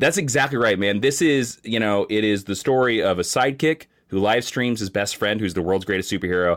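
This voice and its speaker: A man talks at a fairly quick pace with hardly any pauses. His pitch is fairly low, with ordinary pitch variation. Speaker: guest comics commentator. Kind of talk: casual chat. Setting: video call. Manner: loud.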